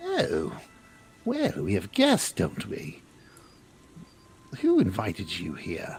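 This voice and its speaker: Delivered at a very slow pace, this put-on character voice leaves long, frequent pauses. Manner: taunting, sinister.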